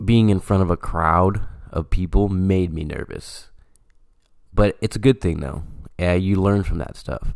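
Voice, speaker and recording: A man with an American accent, very deep and low in pitch, ordinary pitch variation, long, frequent pauses, on a very clean recording with a silent background. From California (Stockton). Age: 20s. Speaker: podcast host. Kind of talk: casual solo monologue. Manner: talkative, many fillers.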